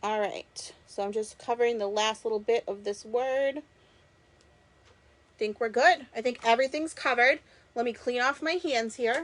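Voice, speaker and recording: A woman speaks in a high pitch at a moderate pace, with ordinary pitch variation. She leaves long, frequent pauses. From Massachusetts, Boston area. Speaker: crafter and direct-sales creator. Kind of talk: live-stream craft tutorial. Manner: casual, chatty with fillers.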